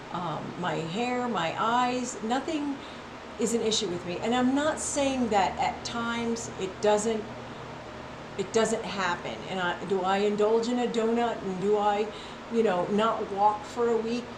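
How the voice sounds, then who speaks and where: Over noticeable background noise and audible room echo, a woman speaks at a fairly slow pace with fairly high pitch and ordinary pitch variation. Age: 60s. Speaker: health and wellness vlogger. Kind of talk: casual monologue. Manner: animated; repetitive, halting restarts.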